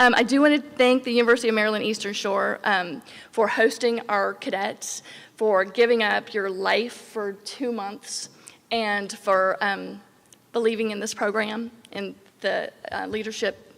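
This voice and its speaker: A shaky woman's voice at a fairly high pitch, with fairly even intonation and a moderate pace. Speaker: program staff. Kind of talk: ceremony speech. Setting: graduation ceremony. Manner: shaky voice.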